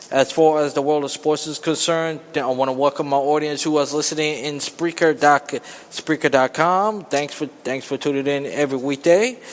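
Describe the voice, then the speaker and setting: Over noticeable background noise, a man talks with fairly high pitch and fairly even intonation. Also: moderate pace. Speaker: sports podcast host. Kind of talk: casual sports talk monologue. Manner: halting, many repetitions and restarts.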